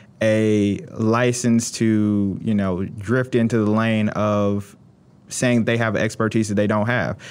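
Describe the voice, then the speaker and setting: A man with a normal speaking voice talks at a fairly slow pace and a fairly low pitch on a very clean recording with a silent background. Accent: American. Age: 20s. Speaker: attorney and engineer. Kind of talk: interview. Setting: studio.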